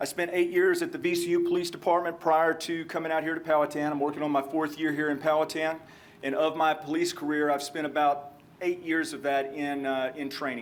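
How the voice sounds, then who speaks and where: Delivered with monotone, flat intonation and a slight Texan accent, the speech carries audible room echo and noticeable background noise. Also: man, fairly high pitch for a man. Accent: slight Texan drawl. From Texas. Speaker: police trainer. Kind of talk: lecture.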